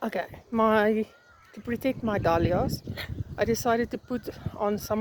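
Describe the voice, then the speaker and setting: Noticeable background noise accompanies speech that moves at a moderate pace. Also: woman. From South Africa. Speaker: flower farmer. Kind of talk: casual vlog tour. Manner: hesitant, many fillers.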